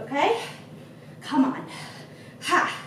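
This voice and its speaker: There is audible room echo and light background noise. A woman speaks at a very slow pace. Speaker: fitness instructor. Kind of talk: workout coaching cues. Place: gym.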